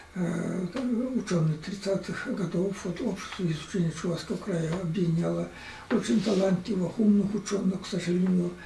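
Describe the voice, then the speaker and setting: A man with a high pitch speaks at a moderate pace with fairly even intonation. Noticeable background noise runs under his voice. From Chuvashia, Russia. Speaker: writer and historian. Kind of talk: interview. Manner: halting, many hesitations.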